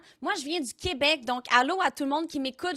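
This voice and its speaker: In a raised, projected voice, a woman sounds animated and bright and sharp, moving at a fairly quick pace with ordinary pitch variation in a dry, close sound with no echo. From Quebec, south shore of Montreal. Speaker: streamer and content creator. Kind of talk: live interactive stream hosting.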